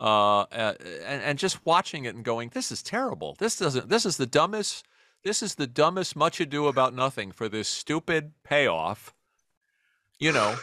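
A man with a New York accent speaks at a moderate pace in a fairly high, bright, sharp voice with vocal fry and very wide pitch swings, on a very clean recording with a silent background. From New York City, Queens. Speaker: comedy writer and podcaster. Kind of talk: casual interview chat.

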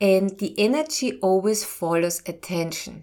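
A woman with a normal speaking voice and lively intonation talks at medium pitch on a very clean recording with a silent background. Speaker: medical intuitive and doctor podcast host. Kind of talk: educational talk with guided meditation segment. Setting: studio podcast. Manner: slow, calm, soothing guided-meditation pacing; informative, warm.

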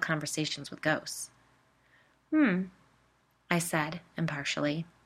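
On a very clean recording with a silent background, a woman talks at a fairly slow pace with ordinary pitch variation. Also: long, frequent pauses, big swings in loudness. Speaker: podcast host and storyteller. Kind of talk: scripted narration of ghost stories.

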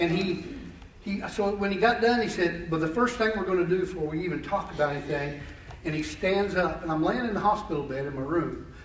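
A man at a high pitch and a fairly quick pace, with ordinary pitch variation, audible room echo and noticeable background noise. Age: 50s. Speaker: lay preacher. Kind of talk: sermon. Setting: church.

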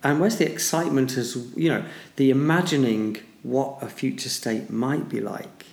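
Medium-pitched man with a northern English accent, at a moderate pace with ordinary pitch variation. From northern England. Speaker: podcast co-host, mathematician and businessman. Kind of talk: casual chat.

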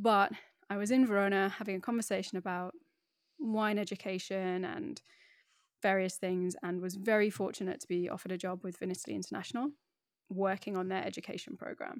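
A woman's medium-pitched voice with a British accent, ordinary pitch variation and a fairly quick pace, on a very clean recording with a silent background. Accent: BBC-style English. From northeast England, Middlesbrough. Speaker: wine educator. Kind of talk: interview. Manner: animated, laughs often.

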